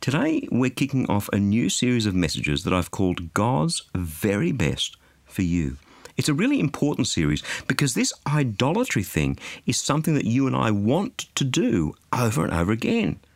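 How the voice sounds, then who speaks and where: In an Australian accent, a man speaks at a moderate pace and a medium pitch. His pitch swings very widely. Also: very even loudness. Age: 50s. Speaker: radio preacher. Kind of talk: sermon.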